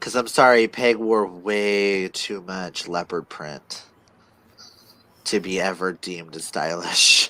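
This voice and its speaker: A man speaks at a very slow pace in a very deep, low voice. His loudness swings widely. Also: ordinary pitch variation. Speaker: livestream co-host reading chat questions. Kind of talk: casual livestream chat.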